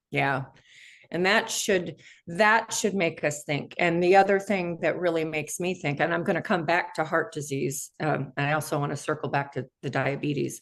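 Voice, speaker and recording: A woman speaks in a plain, everyday voice with ordinary pitch variation against a quiet background. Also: fairly low pitch for a woman, moderate pace. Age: 60s. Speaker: interview show host. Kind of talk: interview.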